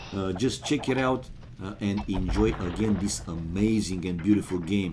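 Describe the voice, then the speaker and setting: A man with a non-native accent speaks in a very deep, low pitch with ordinary pitch variation. Noticeable background noise sits behind him. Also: moderate pace. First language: not English. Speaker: game streamer and commentator. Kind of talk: casual chat with viewers; live game commentary. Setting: live stream. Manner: halting, many fillers.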